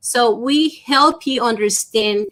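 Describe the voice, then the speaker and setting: A woman speaks with a Spanish accent. Her pitch varies in an ordinary way. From Dominican Republic. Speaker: small business consultant. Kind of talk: interview.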